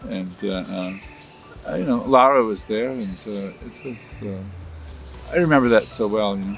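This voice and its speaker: With an American accent and a fairly low pitch, a man speaks with long, frequent pauses and big swings in loudness, amid noticeable background noise and audible room echo. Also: ordinary pitch variation, moderate pace. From US Midwest, Michigan. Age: 70s. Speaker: linguist and researcher. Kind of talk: interview. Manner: halting, many fillers.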